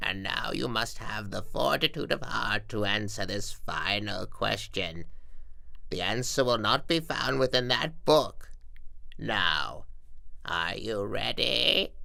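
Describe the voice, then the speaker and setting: A man in a put-on character voice, fairly slow in pace. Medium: machinima. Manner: solemn, formal.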